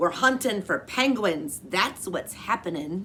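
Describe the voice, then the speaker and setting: A female-sounding, gruff, growling put-on character voice at middle pitch and a fairly slow pace, against clear background noise. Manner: growling, gruff.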